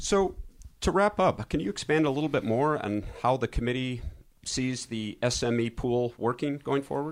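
A man has an ordinary speaking voice at medium pitch. He talks at a moderate pace with ordinary pitch variation. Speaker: podcast host. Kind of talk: casual interview.

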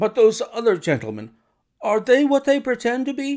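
A man puts on a character voice at an extremely high pitch, with very wide pitch swings. It sounds shaky and slightly mellow at a moderate pace.

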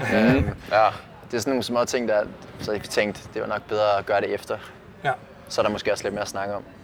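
Amid noticeable background noise, a man speaks very fast yet pauses long and often. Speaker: competitor. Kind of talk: casual post-event interview. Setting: stadium.

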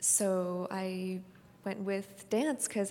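In a Californian accent, a woman speaks with monotone, flat intonation. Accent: Californian American. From US West Coast (San Francisco Bay Area). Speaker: ballet dancer. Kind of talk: onstage interview. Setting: stage with live audience.

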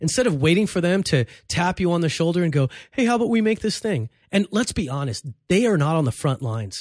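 Very fast and in a Los Angeles accent, the voice swings very widely in pitch over a very clean recording with a silent background. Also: man, high pitch for a man. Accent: sounds like a Los Angeles surfer. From East Los Angeles, US. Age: 40s. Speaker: comedian. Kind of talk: casual chat. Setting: studio.

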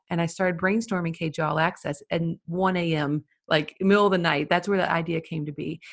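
Talking at a fairly quick pace with hardly any pauses, a woman uses an unremarkable speaking voice at a fairly low pitch with fairly even intonation, in a dry, close sound with no echo. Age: 30s. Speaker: wedding photographer and educator. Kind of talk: interview.

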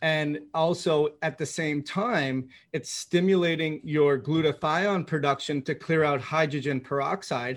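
Over a very clean recording with a silent background, a man with a plain, everyday voice speaks at a fairly slow pace with hardly any pauses and ordinary pitch variation. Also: fairly high pitch for a man. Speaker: podcast host and doctor. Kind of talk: interview, casual professional chat.

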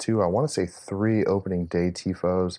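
A man with an American accent and a very deep, low pitch, dark, mellow tone, fairly even intonation and moderate pace, in a very clean recording with a silent background. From Dallas, Texas. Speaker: supporters group president. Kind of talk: interview.

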